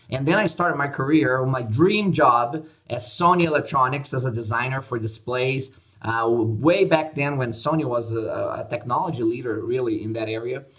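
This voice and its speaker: The speaker has a Portuguese accent. The pace is moderate. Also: man, medium pitch for a man, ordinary pitch variation. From Brazil. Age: 50s. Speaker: conference organizer and business advisor. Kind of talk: podcast interview. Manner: hesitant, many fillers.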